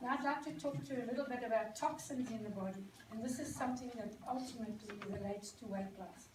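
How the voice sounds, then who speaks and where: Speaking very fast with hardly any pauses, a woman uses a fairly high voice with ordinary pitch variation and a South African accent. Room echo is audible and background noise is noticeable. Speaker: product presenter. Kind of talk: presentation to an audience. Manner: hesitant, many ums.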